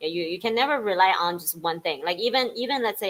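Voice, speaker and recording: Lively intonation marks the speech of a woman with a Chinese accent. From China. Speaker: Chinese teacher. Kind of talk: casual bilingual talk show chat.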